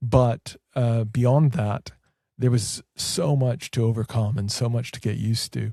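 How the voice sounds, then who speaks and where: Speaking at a fairly slow pace, a man with a Canadian accent has a medium pitch, a dark, mellow tone and a somewhat breathy sound. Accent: Canadian accent, noticeable in Wales. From Canada. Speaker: Orthodox priest. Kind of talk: interview conversation. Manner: hesitant, many fillers.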